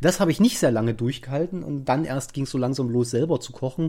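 The speech comes at a very fast pace. The background is silent, and the recording is very clean. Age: 30s. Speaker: podcast host. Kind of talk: casual chat.

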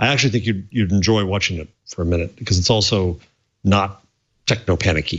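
The man's voice is fairly low and somewhat breathy. He speaks at a fairly quick pace. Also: ordinary pitch variation. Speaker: professor panelist. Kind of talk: casual chat.

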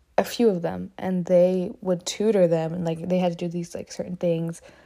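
A woman's dark, mellow voice, fairly low in pitch, with an American accent. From US South (Alabama), Ethiopian parents. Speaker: solo podcaster. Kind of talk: casual monologue. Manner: fast, rambling talker; animated, expressive.

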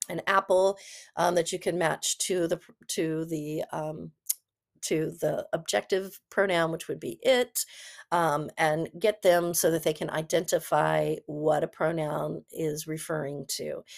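A woman's fairly low, fairly slow voice with vocal fry and fairly even intonation, dry and close with no echo, in a very clean recording with a silent background. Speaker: podcast host, former reading specialist. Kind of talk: solo educational podcast, tutorial.

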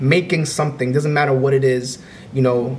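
Noticeable background noise sits behind this man's voice. He speaks at a medium pitch with fairly even intonation in a New York accent. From US, Bronx, New York. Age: 20s. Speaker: music producer and YouTuber. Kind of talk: casual chat.

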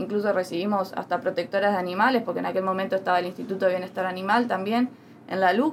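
The woman speaks very fast at a medium pitch. Her pitch varies in an ordinary way. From Uruguay. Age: young. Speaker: political activist. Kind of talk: interview.

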